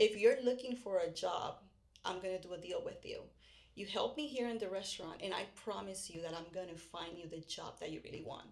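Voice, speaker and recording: A woman with a Puerto Rican accent, fairly quick in pace, with big swings in loudness. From Puerto Rico. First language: Spanish. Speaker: real estate podcast host. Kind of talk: casual chat.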